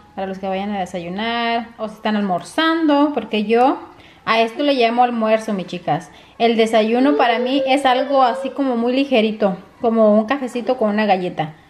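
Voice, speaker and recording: Against noticeable background noise, a woman speaks with ordinary pitch variation. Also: moderate pace. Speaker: vlogger. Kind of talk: casual vlog chat. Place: home room. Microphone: phone near.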